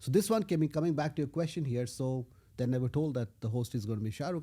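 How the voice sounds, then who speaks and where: A man speaks at a very fast pace. His tone is dark and mellow, and somewhat breathy. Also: very clean recording, silent background. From India, Odisha (Puri). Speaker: tech executive. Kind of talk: interview conversation. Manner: animated storytelling.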